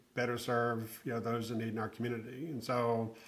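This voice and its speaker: Bright, sharp male voice at a medium pitch, with a Southern US accent. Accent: Southern US, held on to. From South Carolina (Aiken). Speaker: nonprofit executive. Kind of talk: podcast interview.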